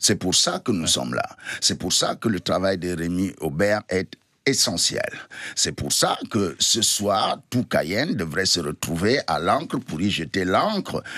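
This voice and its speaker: A man speaks very slowly in a very deep, low voice with a bright, sharp tone. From Cameroon. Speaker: storyteller guest at a storytelling festival. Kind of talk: radio/TV interview answer.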